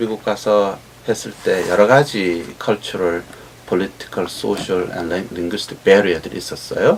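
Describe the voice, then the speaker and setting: Noticeable background noise accompanies a man speaking at a moderate pace with a fairly low pitch. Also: fairly even intonation. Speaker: professor. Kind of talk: interview.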